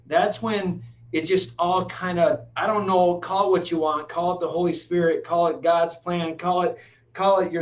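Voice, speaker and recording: Against noticeable background noise, a man with an American accent speaks at a high pitch with ordinary pitch variation. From Michigan, Flint. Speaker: dentist and business owner. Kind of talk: casual interview. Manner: energetic.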